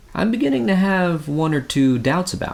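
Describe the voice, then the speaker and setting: A man puts on a hoarse, croaky character voice at a fairly high pitch, speaking at a moderate pace with lively intonation and big swings in loudness. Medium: read story. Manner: plain-spoken, homespun.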